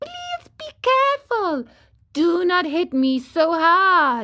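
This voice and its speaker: A woman's put-on character voice, squeaky and extremely high-pitched, with very wide pitch swings at a very slow pace. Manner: pleading, beseeching.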